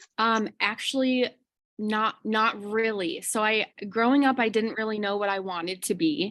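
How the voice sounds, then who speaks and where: In a very clean recording with a silent background, a woman with a fairly high pitch and a slight Chicago accent talks at a moderate pace. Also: ordinary pitch variation. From Chicago suburbs, Illinois, US. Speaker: kindergarten teacher. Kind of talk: interview.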